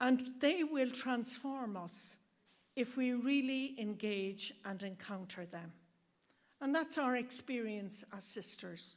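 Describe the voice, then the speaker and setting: Spoken in an Irish accent at a very slow pace, the voice has lively intonation and big swings in loudness. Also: woman, high pitch for a woman. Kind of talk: speech at event.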